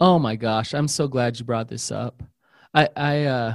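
With a normal speaking voice, a man talks at medium pitch and with fairly even intonation. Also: dry, close sound with no echo. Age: 40s. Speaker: therapist. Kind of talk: casual chat.

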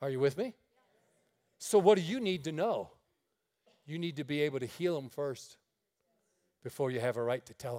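In an American accent with a dark, mellow tone, the voice goes at a fairly quick pace with lively intonation, big swings in loudness, and long, frequent pauses. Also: man, fairly high pitch for a man. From upstate New York, near Niagara Falls. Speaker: traveling preacher. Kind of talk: sermon. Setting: church.

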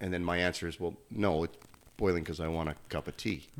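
In a very clean recording with a silent background, a man with a slight Canadian accent speaks very fast in a very deep, low, monotone, flat voice. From Canada. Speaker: gym owner, former pro hockey player. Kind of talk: casual chat.

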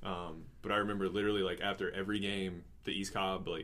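A man's fairly low voice with audible room echo. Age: 20s. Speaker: podcast host and athletic trainer. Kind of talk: casual interview chat.

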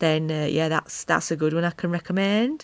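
In a strong Yorkshire accent, a woman talks at a fairly low pitch, recorded very cleanly against a silent background with a dry, close sound and no echo. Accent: strong Wakefield. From northern England, Wakefield. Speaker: podcast host, pagan witch. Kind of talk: casual chat monologue. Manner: animated.

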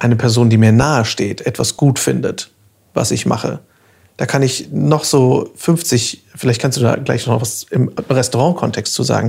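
This man's medium-pitched voice has a dark, mellow tone and ordinary pitch variation. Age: 30s. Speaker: podcast host, voice actor and artist. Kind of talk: casual chat; podcast intro.

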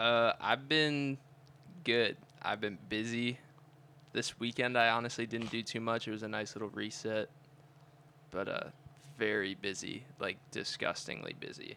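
Over a silent background on a very clean recording, a man talks fairly slowly at a medium pitch with fairly even intonation and long, frequent pauses. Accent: American. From Cleveland, Ohio. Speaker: college student podcast co-host. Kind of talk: casual chat.

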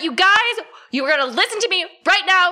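An extremely high-pitched put-on character voice at a fairly quick pace. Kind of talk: loud, authoritative. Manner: firm, commanding.

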